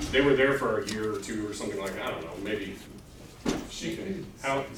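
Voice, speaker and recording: Noticeable background noise and audible room echo surround a man talking at a fairly quick pace in a fairly low pitch with ordinary pitch variation. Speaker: Bible class teacher. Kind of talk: lecture. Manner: loud.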